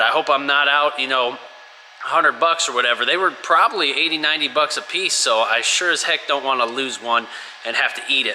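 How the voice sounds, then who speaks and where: A man with an animated tone speaks at a fairly quick pace with ordinary pitch variation over noticeable background noise. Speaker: truck owner doing DIY repair review. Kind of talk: casual DIY tutorial vlog. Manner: casual, animated.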